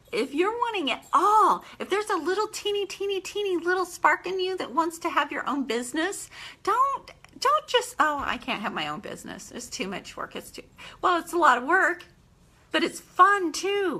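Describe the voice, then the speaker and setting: Speaking at a moderate pace, a woman with an extremely high pitch raises and projects her voice in an animated tone, her pitch swinging very widely. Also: big swings in loudness. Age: 50s. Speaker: home business owner. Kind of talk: live stream monologue. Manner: halting, with fillers.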